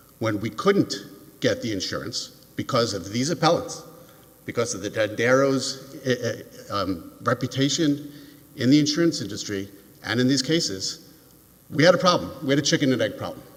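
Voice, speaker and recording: Over noticeable background noise, a man with an American accent talks at a medium pitch with lively intonation. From New York. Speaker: appellate lawyer. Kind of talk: oral argument in court. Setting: courtroom. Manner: fast.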